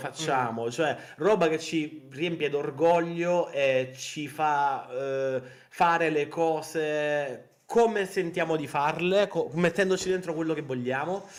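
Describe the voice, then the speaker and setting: Fairly high pitch from a man, with ordinary variation in pitch. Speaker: indie game developer and artist, guest in interview. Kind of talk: interview answer, casual conversational talk. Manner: fast, expressive, passionate, rambling.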